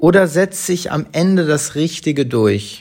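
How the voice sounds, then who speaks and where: Pitch moves in an ordinary way. The pace is very slow. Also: man. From Hamburg, northern Germany. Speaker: podcast co-host. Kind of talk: casual chat. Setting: at home on the sofa.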